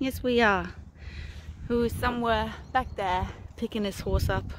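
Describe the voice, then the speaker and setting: Fairly slow speech from a woman, a dry sound with no echo and light background noise. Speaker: horse owner vlogger. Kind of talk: casual vlog chat. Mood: cheerful, upbeat. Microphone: phone near.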